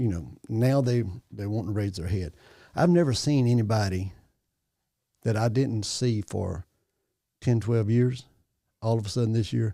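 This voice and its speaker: In a Louisiana accent, a man with a fairly low pitch and a dark, mellow tone speaks at a moderate pace with ordinary pitch variation and long, frequent pauses, on a very clean recording with a silent background. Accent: Southern US (Louisiana). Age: 60s. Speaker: parish assessor. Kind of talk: casual chat. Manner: animated.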